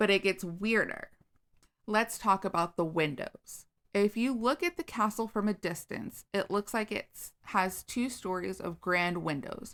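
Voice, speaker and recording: Heard on a very clean recording with a silent background, a woman with an ordinary speaking voice and medium pitch speaks at a fairly slow pace with ordinary pitch variation. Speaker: podcast co-host. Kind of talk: casual storytelling chat.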